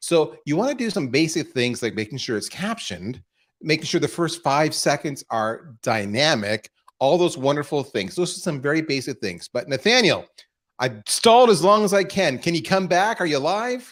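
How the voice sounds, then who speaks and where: At a moderate pace, a man with a fairly high pitch and vocal fry speaks in an animated tone with very wide pitch swings. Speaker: marketing executive, webinar host. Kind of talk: live webinar presentation. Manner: stutter.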